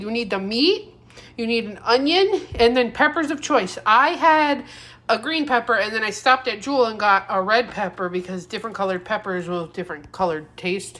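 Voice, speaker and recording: This woman talks at a moderate pace with a fairly high pitch. Her pitch swings very widely. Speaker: home cooking vlogger. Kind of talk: casual cooking tutorial. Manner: casual, hesitant with fillers.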